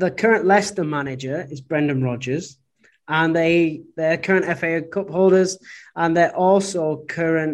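A man speaks at a fairly slow pace with a high pitch and ordinary pitch variation. The background is quiet. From northern England, Oldham. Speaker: podcast co-host. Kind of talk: casual chat. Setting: remote call.

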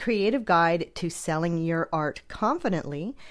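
Against a quiet background, a woman at medium pitch talks at a moderate pace with lively intonation. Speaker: podcast host and art business mentor. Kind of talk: solo podcast episode, promotional. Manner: animated, confident, determined.

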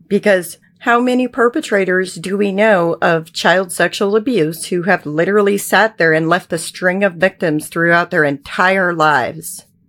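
In a very clean recording with a silent background, a woman with an American accent and an ordinary speaking voice talks at a fairly slow pace, her fairly low pitch showing ordinary pitch variation. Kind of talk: interview testimony.

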